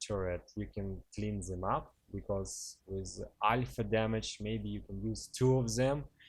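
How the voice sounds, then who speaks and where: A man speaks at a fairly slow pace. He has a non-native accent. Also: quiet background. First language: not English. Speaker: gaming commentator. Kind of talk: gameplay commentary. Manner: casual, hesitant with fillers.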